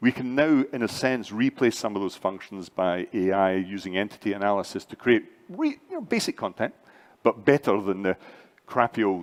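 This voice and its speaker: With a Scottish accent, a man talks at a moderate pace with ordinary pitch variation, in a dry, close sound with no echo. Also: fairly low pitch for a man. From Scotland. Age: 60s. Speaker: AI and learning entrepreneur, conference speaker. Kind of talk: conference panel discussion.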